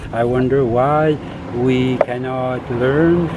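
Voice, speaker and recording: With an Acadian accent, a man talks at a medium pitch with ordinary pitch variation over noticeable background noise. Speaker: political candidate. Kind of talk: interview. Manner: halting, many fillers and repetitions.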